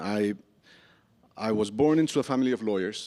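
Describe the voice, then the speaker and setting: At a moderate pace, a man speaks with a Spanish accent and lively intonation. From Colombia. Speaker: novelist. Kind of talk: public conversation. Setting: stage with audience.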